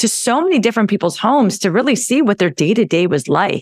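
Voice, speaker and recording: This woman, with a West Coast US accent, talks at a fairly high pitch with very wide swings up and down. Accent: General American (West Coast). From California. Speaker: naturopathic doctor. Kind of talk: casual interview.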